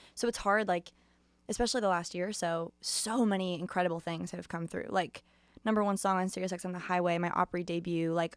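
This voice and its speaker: Her American accent clear on a very clean recording with a silent background, a woman talks at a fairly quick pace with medium pitch and fairly even intonation. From Los Angeles, California. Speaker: country singer. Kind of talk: casual chat. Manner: fast.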